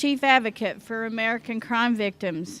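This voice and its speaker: With a Southern US accent, a woman speaks at a high pitch and a moderate pace, her intonation fairly even. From Oklahoma. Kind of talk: conference keynote speech. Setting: conference luncheon with audience.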